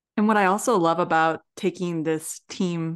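Over a quiet background, a woman with a Midwestern American accent speaks at a fairly slow pace, her pitch fairly low with ordinary variation. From US Midwest. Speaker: podcast co-host, marketing consultant. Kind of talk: casual interview chat.

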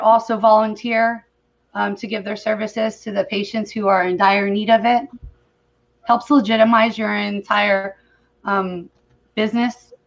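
With an American accent, a woman speaks at a moderate pace in a fairly high voice with monotone, flat intonation. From California. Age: 40s. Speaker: cannabis advocate. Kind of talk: video call interview.

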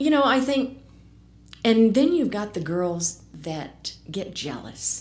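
Very slowly, a woman talks with vocal fry and very wide pitch swings. Room echo is audible. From US military family, moved around (South, California). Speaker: casino cocktail server. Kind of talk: casual interview chat.

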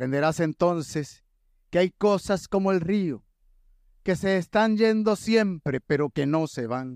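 A man speaks at a high pitch and a fairly slow pace, with lively intonation. His tone is solemn and dramatic, and the sound is dry and close, with no echo. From western Puerto Rico. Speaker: poet, declaimer. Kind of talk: declaimed poetry, spoken word. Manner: solemn, rhythmic, dramatic.

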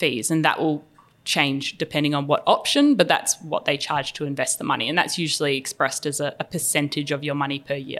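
A fairly quick woman's voice with an Australian accent and very deep, low pitch, on a very clean recording with a silent background. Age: 20s. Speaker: finance podcast host. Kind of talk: casual chat.

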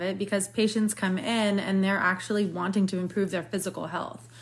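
A woman's medium-pitched, somewhat breathy voice at a very fast pace, with fairly even intonation. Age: 20s. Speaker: podcast host, physical therapist. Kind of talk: casual interview.

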